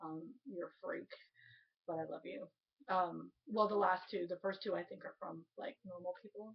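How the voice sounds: A woman's fairly low voice with vocal fry, a slightly husky edge, fairly even intonation and a moderate pace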